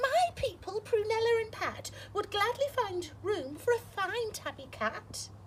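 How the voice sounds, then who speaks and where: Over clear background noise, a woman puts on a squeaky character voice at an extremely high pitch, going at a fairly slow pace. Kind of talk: bedtime story. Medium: read story.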